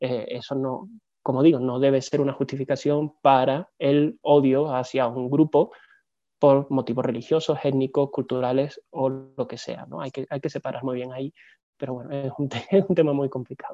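A man with an unremarkable speaking voice keeps a fairly even intonation while his loudness swings widely. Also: fairly high pitch for a man, moderate pace. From southern Spain, Seville. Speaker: museologist. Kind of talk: interview.

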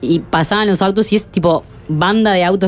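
With music in the background, the voice holds a moderate pace and fairly even intonation. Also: woman. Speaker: radio reporter. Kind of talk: field report.

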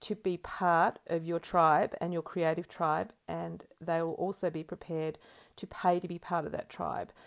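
A woman with an ordinary speaking voice and fairly low pitch talks at a moderate pace on a very clean recording with a silent background. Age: 50s. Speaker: co-host, painter and ceramicist. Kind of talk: casual chat.

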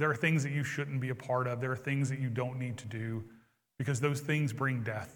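Fairly quick, somewhat breathy speech from a man, with fairly even intonation and audible room echo. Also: medium pitch for a man. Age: 40s. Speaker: pastor. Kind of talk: sermon. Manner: hesitant fillers.

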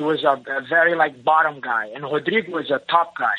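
A man with a Brazilian accent speaks at a moderate pace. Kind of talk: interview.

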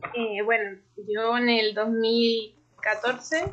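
Her voice sits fairly high for a woman. The rise and fall of her pitch is ordinary. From Chile. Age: 20s. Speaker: graphic designer. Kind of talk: casual interview.

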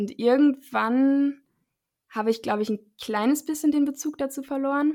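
The voice has a dark, mellow tone. Its intonation is fairly even, at a moderate pace. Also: woman, high pitch for a woman. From Germany, Münster. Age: 20s. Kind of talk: casual interview.

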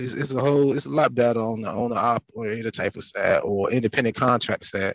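A man with an American accent talks at a very fast pace with hardly any pauses, his medium-pitched voice showing ordinary pitch variation in a dry, close sound with no echo. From Virginia (Southampton County, Emporia). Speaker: truck driver. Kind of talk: casual chat.

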